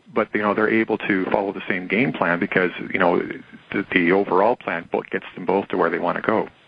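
Amid noticeable background noise, a man with a Canadian accent speaks at a fairly quick pace with a very deep, low pitch and fairly even intonation. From Canada. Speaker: precious metals writer. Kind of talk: interview.

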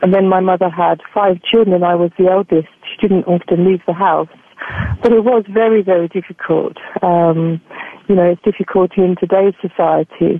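Delivered in an English accent at a moderate pace, the speech has monotone, flat intonation and very even loudness. Background noise is noticeable. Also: woman, medium pitch for a woman. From England. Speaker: spiritual healer and life coach. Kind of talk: interview. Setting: radio show. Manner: fluent.

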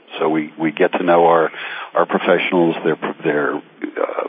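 A man speaks at a moderate pace in a very deep, low voice. His intonation is flat and monotone, and there is noticeable background noise. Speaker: accountant. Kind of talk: radio interview. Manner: hesitant, filler-heavy.

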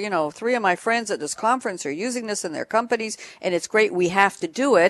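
The tone is animated and upbeat, with ordinary pitch variation. The sound is dry and close with no echo, over a quiet background. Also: woman. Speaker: radio host and moderator. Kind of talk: live panel discussion moderating. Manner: animated, upbeat.

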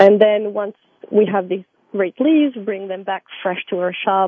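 A woman is speaking. She has a French accent. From France. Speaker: tea company manager. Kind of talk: interview.

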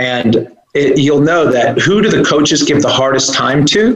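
A man has an unremarkable speaking voice, pitched fairly high. He talks at a fairly slow pace with lively intonation. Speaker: self-development course creator. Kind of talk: inspirational interview. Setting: remote call.

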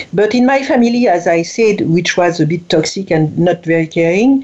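With a French accent, a woman talks at a moderate pace and medium pitch, her intonation lively, over noticeable background noise. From France. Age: 60s. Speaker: writer and speaker, former corporate executive. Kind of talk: interview. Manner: halting, with repetitions.

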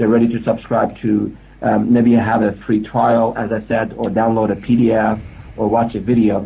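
With a medium pitch and vocal fry, a man speaks at a moderate pace in a monotone, flat delivery. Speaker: analytics expert.

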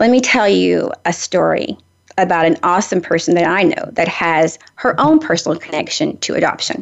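At a moderate pace, a woman speaks in a Tennessee accent. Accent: Southern US (Tennessee). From Nashville, Tennessee. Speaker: radio host. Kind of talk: casual chat. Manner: talkative.

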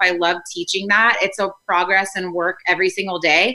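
A woman's bright, sharp tone at a moderate pace. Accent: American. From US South, Nashville. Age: 30s. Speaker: life coach and community founder. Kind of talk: casual interview chat.

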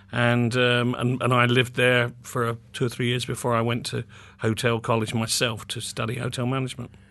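The speaker has a southern English accent and a bright, sharp tone. The intonation stays monotone and flat. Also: man, medium pitch for a man. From England, North London. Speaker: publishing executive. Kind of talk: interview. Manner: hesitant, many fillers and repeats.

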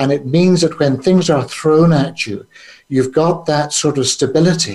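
A man speaks with a Northern Irish accent at a fairly high pitch. His pace is fairly slow and his intonation fairly even. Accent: Northern Irish (Belfast). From Northern Ireland, Belfast. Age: 70s. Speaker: businessman and trauma charity founder. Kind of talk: interview. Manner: halting, frequent fillers.

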